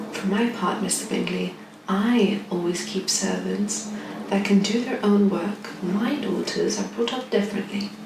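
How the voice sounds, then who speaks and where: A woman speaks softly at a medium pitch in a relaxed tone. Her pace is fairly slow, with noticeable background noise behind her. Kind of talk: soft-spoken audiobook-style reading of a classic novel. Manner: soft-spoken, relaxed.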